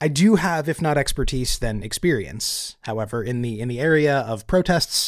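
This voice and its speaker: A man with a plain, everyday voice at medium pitch uses lively intonation on a very clean recording with a silent background. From California. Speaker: podcast host. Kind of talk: podcast monologue; interview.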